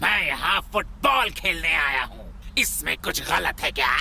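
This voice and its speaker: A man in a cartoonish character voice at a moderate pace, with clear background noise. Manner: gloating, bossy.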